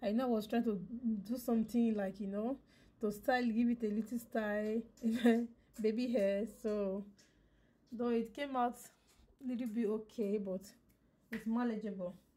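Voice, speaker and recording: Pitched fairly high, a woman speaks in a dark, mellow tone that is somewhat breathy, with fairly even intonation and long, frequent pauses. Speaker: hair tutorial vlogger. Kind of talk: casual vlog talk to viewers.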